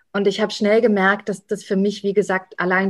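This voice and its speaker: Fairly quick talk from a woman in a quiet background. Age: young. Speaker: association political strategy manager. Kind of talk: casual interview. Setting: at home.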